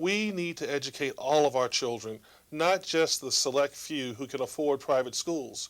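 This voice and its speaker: With a plain, everyday voice, a man speaks at a moderate pace and fairly high pitch, showing ordinary pitch variation on a very clean recording with a silent background. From Virginia. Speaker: state senator. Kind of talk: political address.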